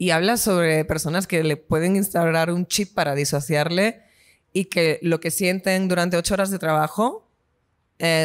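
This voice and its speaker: A woman with an ordinary speaking voice talks at a moderate pace, pitched fairly low. Her intonation stays fairly even, and the recording is very clean with a silent background. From Spain. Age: 20s. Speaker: singer. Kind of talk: interview.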